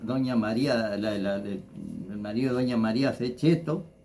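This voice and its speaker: Room echo is audible around this man. His intonation is lively. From Argentina, Entre Ríos (Federación). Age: 60s. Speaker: local personality, former builder. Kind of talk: interview, life story recollection. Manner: halting, many repetitions.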